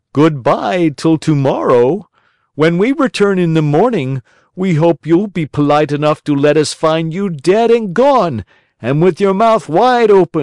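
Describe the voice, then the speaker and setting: Over a quiet background, a man puts on a character voice, speaking at a moderate pace with high pitch and lively intonation, the sound dry and close with no echo. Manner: threatening, mocking.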